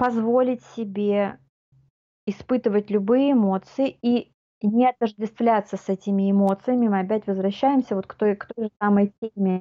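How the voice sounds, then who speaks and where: With an ordinary speaking voice, a woman talks at a moderate pace and fairly high pitch, her intonation fairly even and her loudness swinging widely. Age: 40s. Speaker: life coach. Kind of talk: casual chat.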